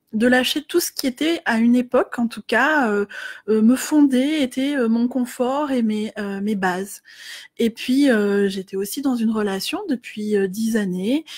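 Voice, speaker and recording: A woman talks at a fairly slow pace with a fairly high pitch and ordinary pitch variation, in a very clean recording with a silent background and a dry, close sound with no echo. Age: 30s. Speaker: life coach. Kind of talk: facebook live talk. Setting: live video stream. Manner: hesitant, many filler words.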